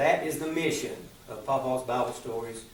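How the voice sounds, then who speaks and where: This speaker has an Appalachian accent and ordinary pitch variation. Noticeable background noise sits behind the voice. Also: man. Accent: Appalachian Southern US. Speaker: storyteller. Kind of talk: business pitch presentation.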